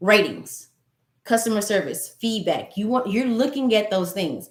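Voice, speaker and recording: A woman speaks in a plain, everyday voice with medium pitch. Her pace is moderate. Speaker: business credit consultant. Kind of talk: tutorial.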